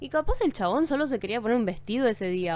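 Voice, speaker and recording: Rattling along at a very fast pace, a woman uses an animated tone and lively intonation at a fairly high pitch. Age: 20s. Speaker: podcast host. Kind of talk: casual monologue. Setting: home studio. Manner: code-switching Spanish and English.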